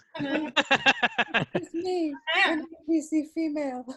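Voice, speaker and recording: A squeaky, female-sounding put-on character voice comes out high-pitched for a woman and very slow. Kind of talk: playful, gamelike.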